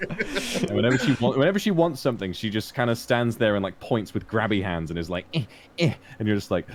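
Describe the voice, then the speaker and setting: A man's very fast speech with lively intonation over noticeable background noise. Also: medium pitch for a man. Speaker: streamer. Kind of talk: casual chat. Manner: animated.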